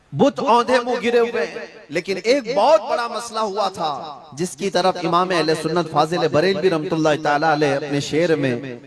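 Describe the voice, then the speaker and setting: Over noticeable background noise, a man with a high voice speaks with lively intonation. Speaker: Islamic scholar giving a sermon. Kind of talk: religious sermon (bayan).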